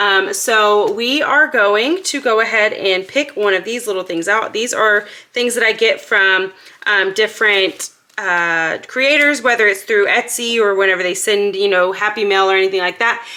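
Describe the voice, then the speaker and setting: The voice has an upbeat, bright, sharp tone with ordinary pitch variation. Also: woman. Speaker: budgeting YouTuber. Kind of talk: casual vlog tutorial. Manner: fast.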